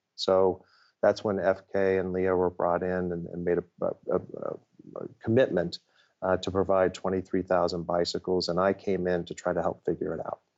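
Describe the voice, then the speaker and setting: At a moderate pace, a man with an American accent speaks in a very deep, low pitch with monotone, flat intonation. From Ohio, US Midwest. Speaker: nonprofit CEO. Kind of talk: interview. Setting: office. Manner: halting, many fillers and repetitions.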